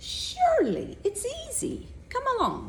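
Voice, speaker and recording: Over clear background noise, a squeaky put-on character voice speaks at a fairly slow pace in an extremely high pitch. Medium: read story.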